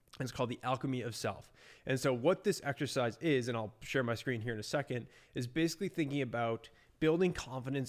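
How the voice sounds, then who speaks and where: A man speaks at a medium pitch and a fairly quick pace with ordinary pitch variation, in an unremarkable speaking voice. The recording is very clean, with a silent background. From US Northeast, Boston, Massachusetts. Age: 20s. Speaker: entrepreneur, agency owner. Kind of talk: casual vlog talk to camera. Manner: casual with many fillers.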